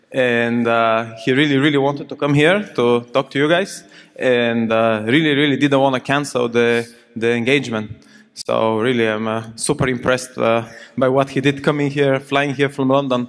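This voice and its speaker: With a plain, everyday voice, a man at medium pitch talks at a moderate pace with fairly even intonation. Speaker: session chair. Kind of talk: moderating audience Q&A. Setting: stage with audience.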